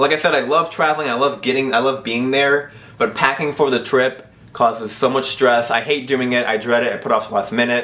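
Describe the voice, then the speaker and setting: A man's fairly quick speech with fairly even intonation. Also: very even loudness. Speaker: vlogger. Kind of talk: casual vlog chat. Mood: mock-complaining, humorous. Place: home room.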